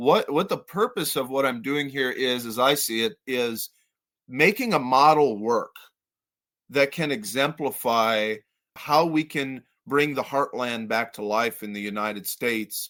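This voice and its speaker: In an American accent, a man speaks at a medium pitch and a fairly slow pace, with a bright, sharp tone. The recording is very clean, with a silent background. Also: ordinary pitch variation. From upstate New York, Adirondacks region. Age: 30s. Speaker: writer and rural community builder. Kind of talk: casual interview chat.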